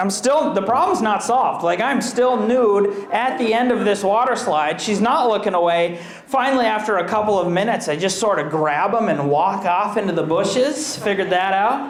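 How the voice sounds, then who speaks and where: An American accent comes through at a moderate pace, with very even loudness and hardly any pauses. There is audible room echo and noticeable background noise. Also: man. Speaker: comedian. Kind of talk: stand-up. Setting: stage with audience.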